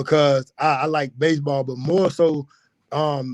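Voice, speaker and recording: Speaking at a fairly slow pace with a rural Alabama accent, this man has a fairly high pitch, and the sound is dry and close with no echo. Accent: US Southern, rural Alabama. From rural west Alabama, Pickens County. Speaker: personal trainer. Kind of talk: podcast interview.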